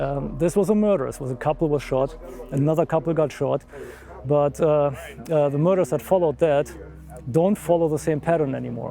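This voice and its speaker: Music plays in the background as a man with a German accent talks. His pace is fairly quick, yet he takes long, frequent pauses. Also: ordinary pitch variation. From Germany. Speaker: amateur investigator. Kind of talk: documentary interview.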